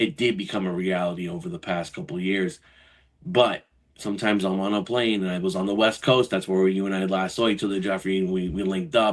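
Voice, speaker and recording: A man with a fairly low voice speaks at a very fast pace. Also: ordinary pitch variation, quiet background. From New York, Brooklyn. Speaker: financial advisor and Marine veteran. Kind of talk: podcast interview. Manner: animated, conversational.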